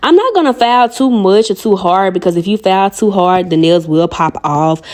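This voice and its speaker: Animated and fairly quick, a woman with a strong Southern US accent speaks at a medium pitch over noticeable background noise. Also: ordinary pitch variation. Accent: strong Southern country. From US South, Arkansas. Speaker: nail artist and video creator. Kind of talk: tutorial with casual chat. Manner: fast.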